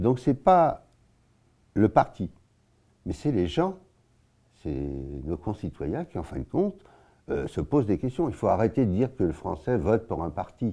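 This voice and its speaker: In a very clean recording with a silent background, a man with a fairly low, dark, mellow voice and vocal fry swings his pitch very widely and leaves long, frequent pauses. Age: 80s+. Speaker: local party spokesman. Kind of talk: interview. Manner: halting.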